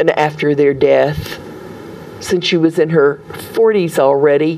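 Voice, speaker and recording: Amid noticeable background noise, a woman with a Southern US accent speaks at a moderate pace and a fairly low pitch. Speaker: storyteller. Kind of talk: interview answer.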